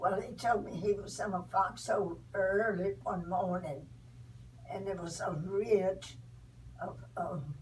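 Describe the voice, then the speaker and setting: A woman speaks at a very slow pace with ordinary pitch variation and big swings in loudness. Noticeable background noise is present. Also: medium pitch for a woman. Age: 80s+. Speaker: great-grandmother recalling the Depression and WWII. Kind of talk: interview answer.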